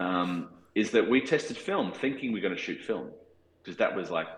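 A man with an Australian accent at a fairly quick pace. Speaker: cinematographer. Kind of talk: interview. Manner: halting.

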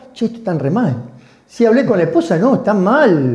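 A man at a moderate pace with lively intonation, plus noticeable background noise and audible room echo. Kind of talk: casual chat.

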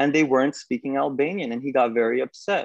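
With a New York accent, a man speaks at a fairly high pitch with ordinary pitch variation. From New York, US. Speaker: graphic artist. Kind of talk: interview.

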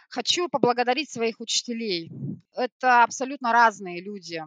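A woman with an unremarkable speaking voice talks at a moderate pace and a fairly high pitch. The recording is very clean with a silent background, dry and close with no echo. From Siberia, Krasnoyarsk. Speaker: retail store manager. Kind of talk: corporate podcast interview.

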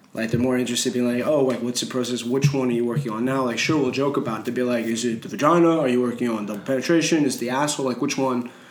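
A man with medium pitch talks at a very fast pace with hardly any pauses and fairly even intonation. Noticeable background noise and audible room echo are present. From Montreal, Canada. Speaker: painter. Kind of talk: casual interview.

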